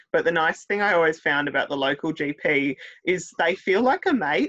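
A woman with a fairly low voice and an Australian accent talks at a fairly quick pace with lively intonation. The sound is dry and close with no echo, over a quiet background. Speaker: podcast host. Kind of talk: casual interview.

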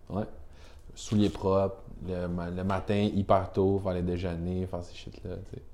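A man with a very deep, low pitch and a dark, mellow tone talks fairly slowly in a monotone, flat intonation, with big swings in loudness, long, frequent pauses and audible room echo. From Quebec, Rimouski. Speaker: brand agency representative, snowboarder. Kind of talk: casual chat.

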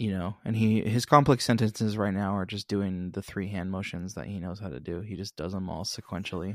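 With an American accent and a normal speaking voice, a man talks at a fairly quick pace with hardly any pauses, his fairly low pitch showing ordinary variation. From Billings, Montana. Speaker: podcast co-host, musician. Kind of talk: casual chat. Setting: remote, recorded apart.

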